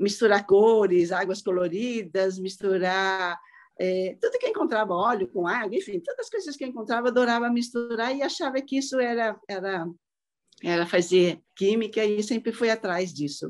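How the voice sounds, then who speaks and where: A woman talks at a moderate pace with a fairly high pitch and ordinary pitch variation. It is an ordinary speaking voice. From Brazil, southeast and Paraná. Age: 60s. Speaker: ceramic artist. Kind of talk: casual chat. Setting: video call.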